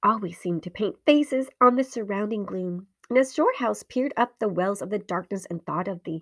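Read aloud in a natural voice against a quiet background.

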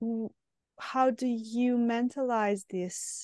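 Very slow speech in a Serbian accent with fairly even intonation, dry and close with no echo over a quiet background. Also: woman. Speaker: podcast host, psychotherapist. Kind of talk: interview. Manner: halting.

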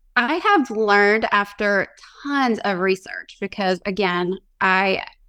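A woman's bright, sharp voice with a Southern US accent on a very clean recording with a silent background. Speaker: small business owner. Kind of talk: interview.

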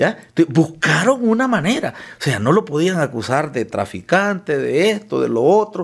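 A man speaks with a Honduran accent in a high pitch. His pitch swings very widely. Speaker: politician. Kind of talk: interview.

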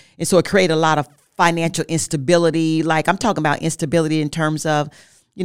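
A woman talks at a very fast pace in a fairly low pitch. The recording is very clean, with a silent background. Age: 50s. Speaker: marriage podcast co-host. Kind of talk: casual chat.

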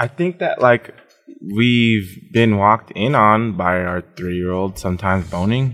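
With ordinary pitch variation, the delivery moves at a fairly slow pace. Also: man, fairly low pitch for a man. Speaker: guest, friend of the show. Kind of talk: casual chat. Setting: on location. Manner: quivering voice.

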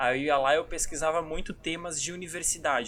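A man's fairly high pitch shows ordinary variation as he talks at a fairly quick pace. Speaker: youtuber, podcast co-host. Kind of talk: casual chat.

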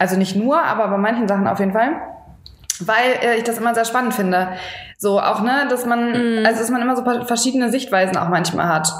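Against noticeable background noise and audible room echo, a woman speaks at a fairly quick pace with ordinary pitch variation and very even loudness. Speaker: fitness podcast co-host. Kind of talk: casual chat. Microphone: no microphone, defective adapter.

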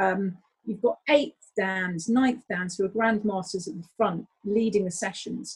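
A somewhat breathy woman is heard with a dry, close sound and no echo. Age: 40s. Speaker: taekwondo instructor and English teacher. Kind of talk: casual interview. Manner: animated.

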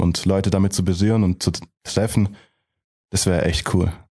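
Over a quiet background, a man with a very deep, low pitch and a dark, mellow tone talks at a fairly quick pace. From Germany, Heilbronn area (Baden-Württemberg). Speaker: rapper. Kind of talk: interview.

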